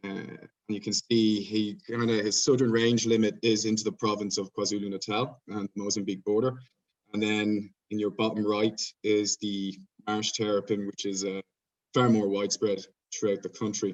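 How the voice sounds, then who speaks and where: Speaking with an Irish accent, a man uses a fairly low, monotone, flat delivery at a moderate pace. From Ireland. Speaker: PhD researcher presenting at conference. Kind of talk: conference presentation. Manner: hesitant, many fillers.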